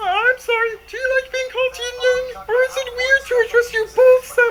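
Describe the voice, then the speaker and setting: In a put-on character voice that is squeaky and extremely high-pitched, the speaker keeps a monotone, flat intonation at a moderate pace. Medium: cartoon.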